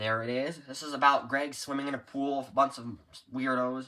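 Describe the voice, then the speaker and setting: The man's voice sits at a medium pitch. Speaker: book collector showing his collection. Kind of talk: casual show-and-tell video. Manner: fast; hurried.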